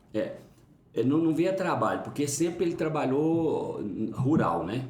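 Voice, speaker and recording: A man with a fairly high pitch and ordinary pitch variation speaks at a fairly slow pace, with audible room echo and noticeable background noise. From Brazil, Uberlândia, Minas Gerais. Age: 50s. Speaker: pastor. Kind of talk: interview, life story. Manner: halting.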